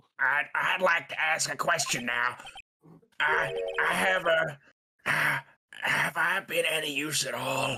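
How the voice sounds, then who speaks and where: In a raspy, put-on character voice, a man with a fairly high pitch speaks at a fairly slow pace, leaving long, frequent pauses. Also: ordinary pitch variation. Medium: fan dub. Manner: grumbling, stammering.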